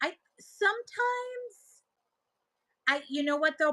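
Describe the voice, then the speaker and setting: A woman's bright, sharp tone comes across as animated, with a dry, close sound with no echo. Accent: Buffalo. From Buffalo, New York area. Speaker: live-stream seller. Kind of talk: casual chat.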